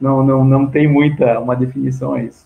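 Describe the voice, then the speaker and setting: The man's voice is somewhat breathy, with a dark, mellow tone. His pitch sits in the medium range. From Rio Grande do Sul, Brazil (Santa Maria). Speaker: fire survivor, veterinarian. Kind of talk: testimony in live video chat. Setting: live video call. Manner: halting, many false starts.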